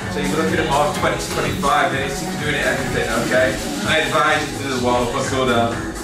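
A man talks at a fairly quick pace. Audible room echo surrounds him, and loud music plays in the background. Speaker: fitness instructor. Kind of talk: workout instruction. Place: gym.

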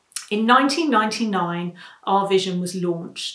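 A woman's voice with audible room echo against a quiet background. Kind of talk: prepared talk. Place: home room. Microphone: webcam.

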